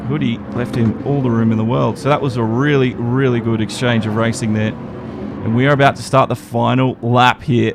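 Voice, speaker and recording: Medium pitch from a man with an Australian accent, at a moderate pace over noticeable background noise. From Australia, Brisbane. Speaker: esports race commentator. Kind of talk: live commentary. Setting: live stream.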